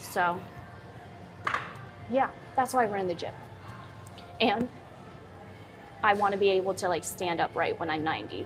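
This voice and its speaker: A woman's medium-pitched voice with ordinary pitch variation, a moderate pace, long and frequent pauses, and noticeable background noise. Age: 20s. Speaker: fitness trainer and content creator. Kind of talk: live-stream chat while working out. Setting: gym, live stream. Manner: casual, chatty.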